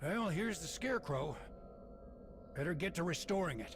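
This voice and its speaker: Putting on a character voice, a man speaks at a high pitch and moderate pace over clear background noise. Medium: video game. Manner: jokey, casual, affectionate.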